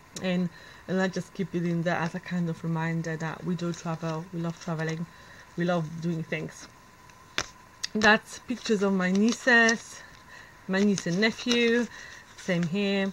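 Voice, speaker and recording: A woman speaks with a non-native accent and fairly even intonation, leaving long, frequent pauses. Noticeable background noise is present. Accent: foreign. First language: not English. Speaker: planner vlogger. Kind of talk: casual show-and-tell video. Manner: halting, many fillers.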